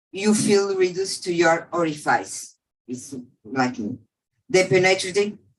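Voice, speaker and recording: With a non-native accent, the words come out at a fairly slow pace. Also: woman, medium pitch for a woman, lively intonation. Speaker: survivor speaker. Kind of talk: testimony. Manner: halting.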